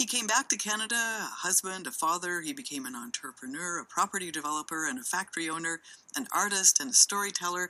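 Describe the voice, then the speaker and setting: A woman speaks at a very fast pace in a fairly low pitch, with big swings in loudness. Noticeable background noise is present. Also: lively intonation. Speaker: radio host. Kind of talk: radio interview.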